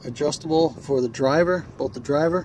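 A man speaks at a fairly slow pace, the sound dry with no echo, while noticeable background noise runs underneath. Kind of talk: casual vlog walkaround. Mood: pleased, relaxed. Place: street. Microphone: phone near.

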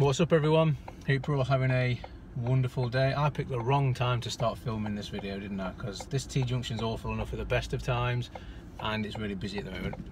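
Over noticeable background noise, a man talks at a very fast pace in a dry sound with no echo. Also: ordinary pitch variation. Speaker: vlogger driving. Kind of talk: casual vlog chat. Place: car. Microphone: phone near.

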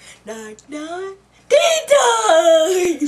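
A man puts on a character voice pitched extremely high, speaking at a very slow pace. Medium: role play. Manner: playful, comic.

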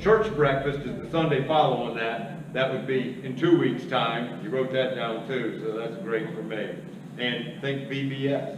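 With audible room echo and noticeable background noise, a man speaks at a fairly slow pace with ordinary pitch variation. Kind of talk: church announcements. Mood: relaxed, joking. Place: church. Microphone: podium.

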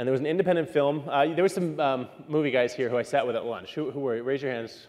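With an American accent, a man talks at a very fast pace and ordinary pitch variation. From New York City. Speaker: keynote speaker. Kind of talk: keynote talk. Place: hall. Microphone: lapel.

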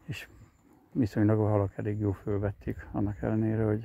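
A man with a dark, mellow tone sounds somewhat breathy, keeping his intonation fairly even. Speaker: angler vlogger. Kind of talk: casual outdoor vlog narration. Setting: outdoors on a riverbank.

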